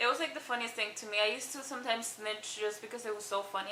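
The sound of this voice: Over noticeable background noise, a woman talks at a very fast pace in a fairly high voice with ordinary pitch variation. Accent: strong non-native.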